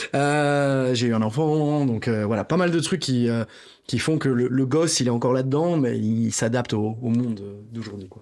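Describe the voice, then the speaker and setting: The man's pitch variation is ordinary. He talks at a moderate pace. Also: medium pitch for a man. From Belgium. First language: Greek (speaking French). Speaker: rapper. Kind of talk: interview.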